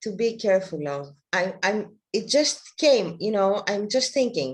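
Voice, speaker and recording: A woman's medium-pitched voice with very wide pitch swings. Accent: non-native. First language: not English. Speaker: workshop participant. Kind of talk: question in online workshop. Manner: halting.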